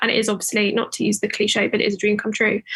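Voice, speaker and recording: A woman speaks with a British accent. Her pitch is fairly high. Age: 20s. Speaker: author and lawyer. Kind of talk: interview.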